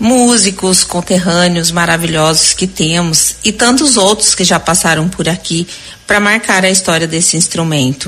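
With noticeable background noise, a woman speaks at a moderate pace in a fairly low pitch, her loudness very even and her pitch variation ordinary. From Mato Grosso do Sul. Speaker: businesswoman. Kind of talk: recorded message.

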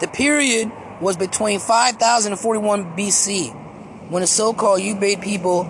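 Noticeable background noise sits behind a man speaking in a high voice. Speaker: podcaster. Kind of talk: casual rambling monologue. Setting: in a car. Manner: casual, profane, rambling.

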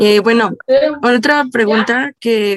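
This woman speaks at a fairly high pitch with ordinary pitch variation, the sound dry and close with no echo. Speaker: communication student interviewer. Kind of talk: interview.

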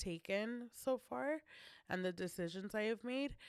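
Recorded very cleanly with a silent background and a dry, close sound with no echo, a woman speaks fairly slowly in a plain, everyday voice with ordinary pitch variation. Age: 30s. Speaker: podcast host. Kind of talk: personal monologue. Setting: studio.

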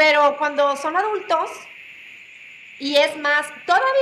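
A woman speaks in a raised, projected voice with a high pitch. Her pace is fairly slow. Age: 50s. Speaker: mother of a podcast host. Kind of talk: casual chat. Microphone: hears own voice echoing.

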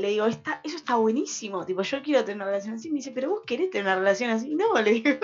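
A woman's high, lively voice at a very fast pace, with music in the background. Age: 20s. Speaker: radio host. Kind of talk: casual chat.

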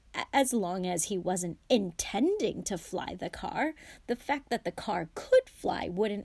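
A woman uses a put-on character voice at a medium pitch, speaking fairly slowly with lively intonation. Her slightly mellow tone has a slightly husky edge and vocal fry.

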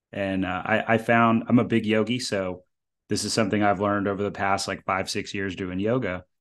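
Against a quiet background, a man with an ordinary speaking voice and a fairly low pitch talks at a fairly quick pace with fairly even intonation. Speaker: podcast host. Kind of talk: casual interview.

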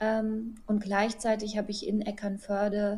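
A woman's somewhat breathy, dark, mellow voice moves at a fairly slow pace. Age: 30s. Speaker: physician. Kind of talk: interview.

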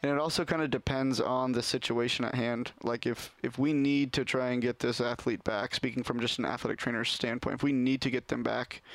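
A man with an American accent has an unremarkable speaking voice and medium pitch. He talks at a fairly quick pace with fairly even intonation. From Oregon, Portland area. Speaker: athletic trainer. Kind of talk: casual chat.

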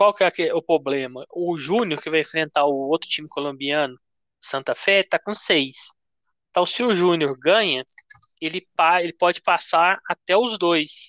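A fairly slow, high-pitched man's voice with ordinary pitch variation and a dry, close sound with no echo. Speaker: podcast host, amateur sports trader. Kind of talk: casual chat.

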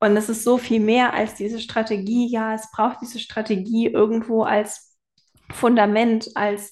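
Against a quiet background, a woman speaks fairly slowly at a fairly high pitch. Her intonation stays monotone and flat. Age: 20s. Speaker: photographer and web designer. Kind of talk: casual chat.

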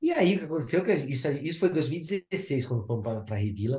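Speaking at a very fast pace, a man sounds somewhat breathy, his fairly high pitch rising and falling in lively intonation. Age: 50s. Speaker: underwater photographer. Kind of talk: casual chat.

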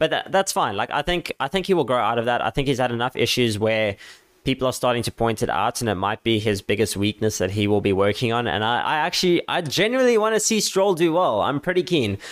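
Speaking at a very fast pace, a man at medium pitch swings very widely in pitch while keeping his loudness very even. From South Africa. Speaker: YouTuber and podcaster. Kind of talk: casual solo podcast. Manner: stutters, self-described.

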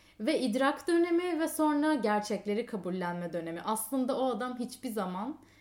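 The speaker is a woman. Her intonation is lively. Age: 20s. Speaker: podcast guest. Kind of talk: casual chat.

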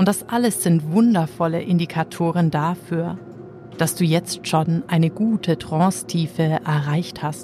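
Against noticeable background noise, a woman speaks fairly slowly in a gentle, soothing tone, her pitch fairly low with ordinary variation. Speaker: hypnotherapist. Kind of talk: guided hypnosis trance induction. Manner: slow, soothing, calm; gentle, hypnotic, drawn-out phrasing.

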